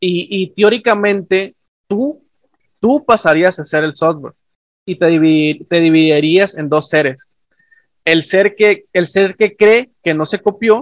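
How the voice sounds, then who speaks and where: Recorded with a dry, close sound with no echo, a man speaks at a high pitch and fairly slow pace with ordinary pitch variation. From northern Mexico. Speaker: podcast host, science communicator. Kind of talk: casual chat.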